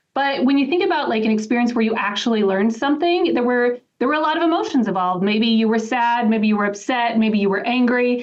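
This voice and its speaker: In an animated tone, a woman speaks at a very fast pace with ordinary pitch variation. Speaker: associate professor. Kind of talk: casual chat. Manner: loud.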